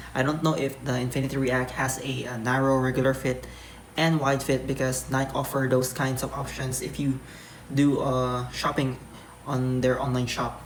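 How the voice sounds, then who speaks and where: There's noticeable background noise behind a voice going at a moderate pace. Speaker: vlogger. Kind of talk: product review vlog. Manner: halting, many fillers.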